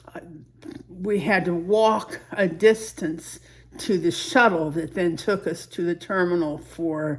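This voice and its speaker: This woman speaks at a very slow pace. Her voice sits fairly low, with ordinary pitch variation. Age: 80s+. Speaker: vlogger. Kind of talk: casual personal vlog. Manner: halting, with many restarts.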